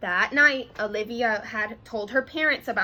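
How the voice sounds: Pitch varies in an ordinary way. It is a natural reading voice.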